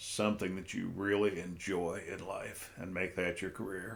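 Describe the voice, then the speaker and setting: A man's monotone, flat delivery at a moderate pace, with audible room echo. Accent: American. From North Central Ohio. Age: 70s. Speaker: interview guest. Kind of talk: casual interview.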